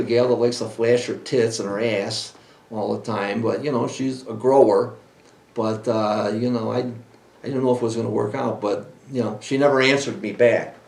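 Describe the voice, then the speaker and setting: A man talks at a moderate pace and medium pitch with fairly even intonation. Audible room echo and noticeable background noise surround his voice. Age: 60s. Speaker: podcast host and cannabis breeder. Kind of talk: casual chat. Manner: halting.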